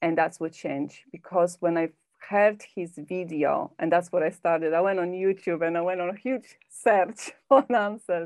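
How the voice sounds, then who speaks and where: A woman with a Polish accent speaks at a moderate pace and a fairly low pitch, with ordinary pitch variation. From Poland. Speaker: personal development coach and hypnotherapist. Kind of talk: podcast interview.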